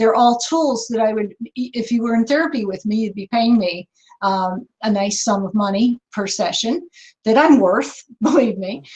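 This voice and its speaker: Moderate-paced, fairly high, somewhat breathy speech from a woman. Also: ordinary pitch variation. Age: 60s. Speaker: author and counselor. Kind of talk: Q&A answer in online presentation.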